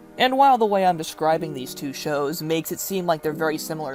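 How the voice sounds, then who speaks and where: Music plays behind a voice with lively intonation. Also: woman. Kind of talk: online video review talk to camera. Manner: casual, conversational.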